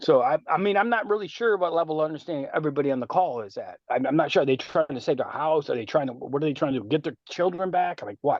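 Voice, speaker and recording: A man at a very fast pace, fairly high-pitched, with lively intonation and hardly any pauses. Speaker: carpenter giving advice in study group. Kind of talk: group video call discussion. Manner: halting, filler-heavy.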